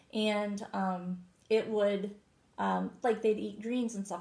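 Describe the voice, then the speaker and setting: This woman speaks fairly slowly at a medium pitch, somewhat breathy, with a dark, mellow tone and ordinary pitch variation. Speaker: co-host selling wellness products. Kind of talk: casual product chat.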